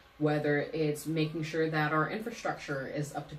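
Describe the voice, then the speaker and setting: With an American accent, a woman speaks at a very deep, low pitch amid noticeable background noise and audible room echo. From Hayward, California (US West Coast). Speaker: city council candidate. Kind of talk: interview conversation.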